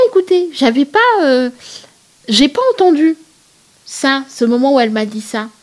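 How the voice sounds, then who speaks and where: Lively in intonation and high in pitch, a woman speaks at a moderate pace over noticeable background noise. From Senegal (Thiès, Dakar). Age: 30s. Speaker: plus-size fashion blogger. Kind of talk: interview conversation. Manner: hesitant, many fillers.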